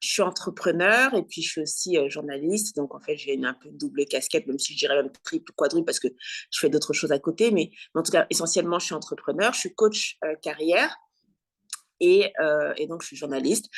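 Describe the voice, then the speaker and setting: Big swings in loudness, with a dry, close sound free of echo and a quiet background. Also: woman, fairly quick pace. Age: 40s. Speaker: career coach and journalist. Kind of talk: interview.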